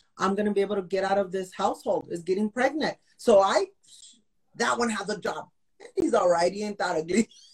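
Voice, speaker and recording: A somewhat breathy woman with an American accent, medium pitch, lively intonation and an animated tone at a fairly quick pace, in a dry, close sound with no echo. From Texas, El Paso. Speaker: life coach and realtor. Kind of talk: casual interview. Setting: video call.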